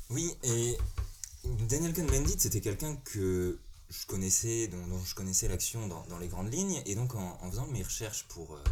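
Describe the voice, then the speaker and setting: With audible room echo, a man talks at a moderate pace through very wide pitch swings. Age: 20s. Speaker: parliamentary assistant. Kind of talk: casual panel discussion.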